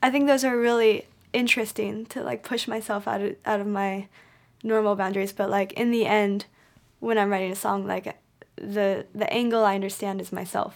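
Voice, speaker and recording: In an American accent, a woman speaks at a moderate pace with a medium pitch and fairly even intonation. The recording is very clean, with a silent background. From Montana, US. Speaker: singer-songwriter. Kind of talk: casual chat, interview. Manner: reflective, open about personal topics.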